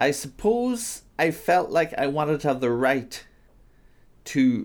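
In a very clean recording with a silent background, a man with a Donegal accent speaks with vocal fry and very wide pitch swings. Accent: Donegal Irish. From Ireland, Donegal. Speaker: writer and lecturer. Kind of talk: interview.

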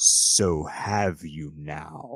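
A man's booming, growling put-on character voice, very deep and low in pitch. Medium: actual play. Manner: intimidating, commanding.

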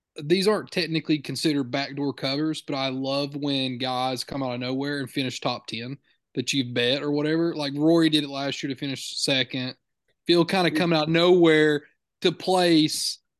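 Over a quiet background, a man with an unremarkable speaking voice and a fairly high pitch talks at a moderate pace with fairly even intonation. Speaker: podcast host. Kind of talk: casual chat.

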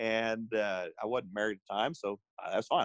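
A man with an Arkansas accent talks very fast at a medium pitch. The sound is dry and close with no echo. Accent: Southern US (Arkansas). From US South, Northwest Arkansas. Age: 40s. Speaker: fitness trainer. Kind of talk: casual chat.

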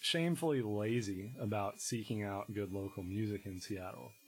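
With an American accent, a man talks in a normal speaking voice at a fairly low pitch, with ordinary pitch variation and a moderate pace. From Virginia, Shenandoah Valley (Harrisonburg). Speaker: musician. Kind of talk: casual interview.

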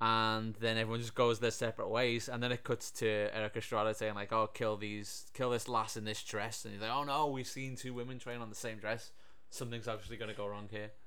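Audible room echo surrounds a man whose medium-pitched voice has a bright, sharp tone and monotone, flat intonation. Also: fairly quick pace. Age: 30s. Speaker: podcast host reviewing films. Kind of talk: casual chat.

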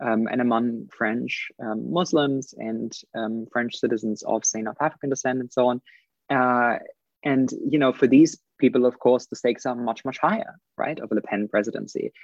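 Here a man speaks with a German accent at a medium pitch. His intonation is fairly even, and the sound is dry and close with no echo. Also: moderate pace. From Germany. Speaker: political commentator. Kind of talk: casual chat.

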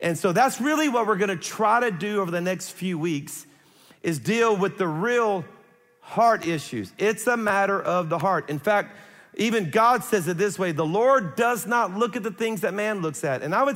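Speaking with a Louisiana accent, a man uses a high pitch with ordinary pitch variation. His pace is moderate, and audible room echo fills the recording. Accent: Southern US (Louisiana). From South Louisiana. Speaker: pastor. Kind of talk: sermon.

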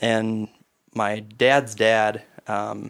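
A man with an Upper Midwest accent speaks in a fairly low pitch with monotone, flat intonation, captured in a very clean recording with a silent background. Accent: Upper Midwest (Minnesota). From Minnesota, east central small town. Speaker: hunting conservation group chapter chair. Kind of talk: casual chat.

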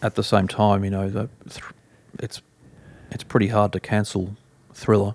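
A man with an Australian accent and a fairly low pitch, monotone and flat in intonation, at a moderate pace with long, frequent pauses and big swings in loudness. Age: 40s. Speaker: music journalist and author. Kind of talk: casual interview. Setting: at home.

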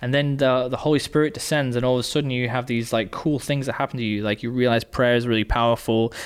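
Very fast speech in an English accent with fairly even intonation. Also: man, very clean recording, silent background. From England. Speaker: podcast co-host. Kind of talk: casual chat.

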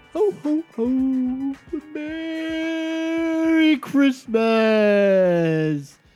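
In a put-on character voice with a cheerful tone, the speaker performs over faint music in the background. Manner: jolly, cheerful.

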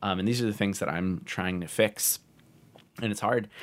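His accent is American. The man's delivery runs at a very fast pace. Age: 20s. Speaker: urban planner. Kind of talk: casual chat.

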